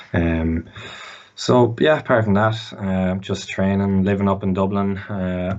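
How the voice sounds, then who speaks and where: Speaking with an Irish Midlands accent, a man delivers his words at a moderate pace in a very deep, low pitch. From Ireland, Mullingar. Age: 20s. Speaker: student athlete. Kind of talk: podcast interview. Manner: halting.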